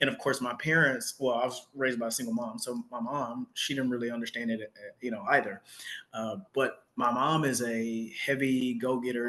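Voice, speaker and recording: A man with an American accent has a plain, everyday voice at a medium pitch, moving at a fairly quick pace with fairly even intonation. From Texas, Dallas. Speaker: academic researcher in English. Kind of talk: casual interview chat.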